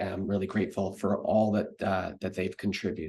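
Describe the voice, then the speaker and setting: A man talks with a Canadian accent and a fairly low pitch. His intonation is monotone and flat. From Canada. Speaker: medical researcher and professor. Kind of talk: recorded conference talk. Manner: hesitant, many fillers.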